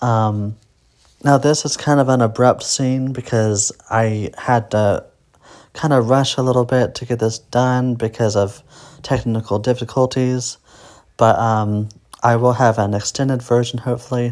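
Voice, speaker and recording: Soft-spoken and fairly slow, a man speaks at medium pitch in a monotone, flat way on a very clean recording with a silent background. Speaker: independent film director and actor. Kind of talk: director's commentary. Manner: hesitant, many fillers.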